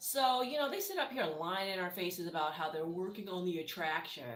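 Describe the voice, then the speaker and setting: Talking at a fairly quick pace with very wide pitch swings, the voice comes through audible room echo and noticeable background noise. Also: woman. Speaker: TV reality show commentator. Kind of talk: casual commentary recap. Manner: fast; animated.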